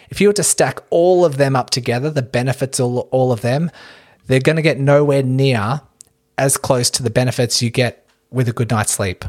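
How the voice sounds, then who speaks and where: With an Australian accent, a man speaks at a moderate pace in a medium pitch with ordinary pitch variation, the sound dry and close with no echo. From Australia, Melbourne. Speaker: running physiotherapist and podcast host. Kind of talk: casual interview chat.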